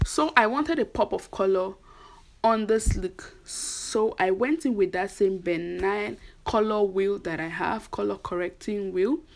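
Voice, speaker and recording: A woman speaks at a medium pitch and a fairly slow pace. Her pitch varies in an ordinary way. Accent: Nigerian. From Nigeria. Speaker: beauty vlogger. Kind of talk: tutorial. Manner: casual, chatty.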